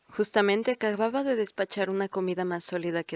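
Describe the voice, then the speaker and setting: A woman with a plain, everyday voice talks at a fairly quick pace and medium pitch with ordinary pitch variation, in a dry, close recording with no echo. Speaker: audiobook narrator. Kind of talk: audiobook narration.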